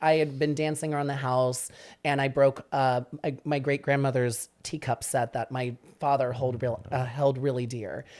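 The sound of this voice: A man speaks with few pauses and little pitch movement. The recording is very clean, with a silent background.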